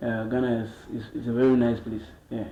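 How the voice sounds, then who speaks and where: Noticeable background noise and audible room echo surround this recording. The man's voice sits at a medium pitch. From Cameroon, Bamenda. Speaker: musician. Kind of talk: interview.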